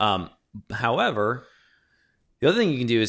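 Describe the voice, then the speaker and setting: Someone with a normal speaking voice talks with lively intonation. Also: man. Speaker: podcast host, scenic automation technician. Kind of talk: casual technical podcast chat. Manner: casual, conversational.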